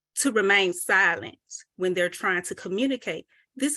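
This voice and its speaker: Her bright, sharp voice sits at a medium pitch for a woman, shaky and marked by very wide pitch swings. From US South. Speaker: mental health presenter. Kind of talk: presentation. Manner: shaky voice.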